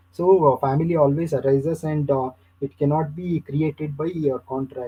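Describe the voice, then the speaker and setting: A man with an Indian accent, somewhat breathy, at a moderate pace and with fairly even intonation. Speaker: university lecturer. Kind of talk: lecture. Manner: halting.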